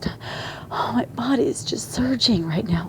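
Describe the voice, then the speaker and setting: Background noise is clearly noticeable while a woman talks. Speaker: video blogger sharing a dream. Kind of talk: personal testimony. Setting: home at night. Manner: hushed, quiet; halting, repetitive.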